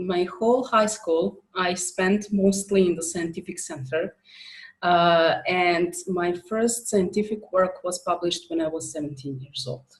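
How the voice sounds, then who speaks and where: A woman with a Serbo-Croatian accent speaks at a very slow pace in a fairly low pitch, using ordinary pitch variation. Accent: Balkan (Serbo-Croatian) accent in English. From former Yugoslavia. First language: not English. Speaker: author and coach. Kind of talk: interview. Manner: halting, many fillers.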